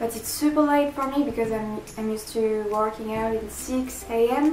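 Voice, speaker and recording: A moderate-paced voice in a French accent, with ordinary pitch variation, audible room echo and music in the background. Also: woman. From France. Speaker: vegan fitness vlogger. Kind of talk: casual talk to camera. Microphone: phone near.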